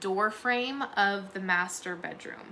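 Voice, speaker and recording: A woman talks at a very slow pace with fairly even intonation. Noticeable background noise runs under her voice. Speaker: true crime commentator. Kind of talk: livestream recap chat. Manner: halting.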